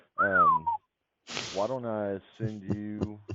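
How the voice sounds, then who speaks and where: A man speaks with a fairly low pitch. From US South. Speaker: real estate wholesaler. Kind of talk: tutorial commentary; sales phone call. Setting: phone call. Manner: casual, filler-heavy.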